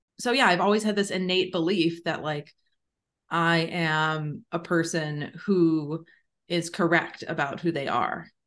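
Speaking at a very slow pace, a woman with a fairly low pitch uses ordinary pitch variation. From Chicago. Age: 30s. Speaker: doctor, abortion provider. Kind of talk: casual chat. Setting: home recording, different floor from host.

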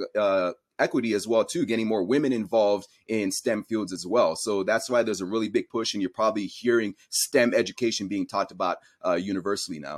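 In a very clean recording with a silent background, a man with an American accent speaks in a normal speaking voice, fairly low in pitch, at a fairly quick pace with ordinary pitch variation. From raised partly in Cameroon, then US. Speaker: science educator and content creator. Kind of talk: interview.

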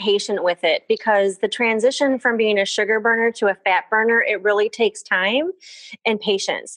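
A woman with an unremarkable speaking voice talks at a moderate pace at a fairly high pitch, with ordinary pitch variation. The sound is dry and close with no echo against a quiet background. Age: 40s. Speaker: physical therapist. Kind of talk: casual interview.

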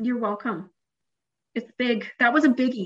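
A woman with a Canadian accent, somewhat breathy, at a moderate pace with fairly even intonation. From Canada. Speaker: therapist, former MLM seller. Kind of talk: casual interview chat.

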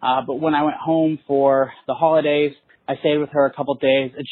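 With an American accent, a man speaks in an ordinary speaking voice, fairly high in pitch and at a fairly quick pace. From Texas. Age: 20s. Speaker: caller, student. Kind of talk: voicemail question. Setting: phone call.

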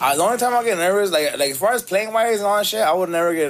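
A man talks at a very fast pace with an American accent. His pitch swings very widely. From Los Angeles. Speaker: musician. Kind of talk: casual chat.

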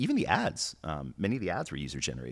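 Vocal fry runs through this man's speech on a very clean recording with a silent background. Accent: American. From New York City. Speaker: watch entrepreneur. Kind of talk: casual chat. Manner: hesitant, many fillers.

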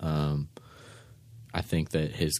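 This man speaks with an American accent in a very deep, low voice. The recording is very clean, with a silent background. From San Francisco, US West Coast. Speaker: electronic musician. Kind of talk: interview. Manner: calm.

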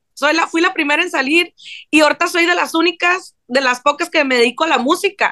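A woman's raised, projected voice, high-pitched and bright and sharp in tone, at a fairly quick pace with ordinary pitch variation, in a dry, close sound with no echo. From Mexico, Sinaloa. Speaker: songwriter. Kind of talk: interview. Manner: casual, slangy.

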